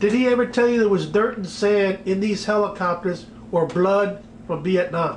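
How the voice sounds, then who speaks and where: Amid noticeable background noise and audible room echo, a man speaks at a moderate pace with a high pitch and fairly even intonation. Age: 70s. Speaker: interviewer, retired base worker. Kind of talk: interview.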